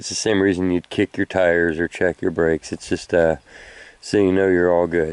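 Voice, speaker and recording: The sound is dry and close with no echo as a man speaks at a moderate pace. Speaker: metal detecting hobbyist. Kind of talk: outdoor tutorial vlog. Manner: mumbling; casual, filler-heavy.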